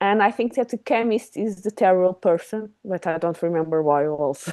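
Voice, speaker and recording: This woman has a dark, mellow tone and a medium pitch. She talks at a moderate pace with a non-native accent. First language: not English. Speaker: book club member. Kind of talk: book club discussion. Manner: halting.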